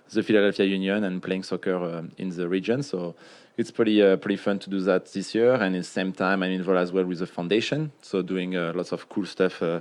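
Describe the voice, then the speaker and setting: Against a quiet background, a man with a French accent and a very deep, low pitch talks at a fairly quick pace. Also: fairly even intonation. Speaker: retired pro soccer player. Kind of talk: casual chat. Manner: hesitant, many fillers.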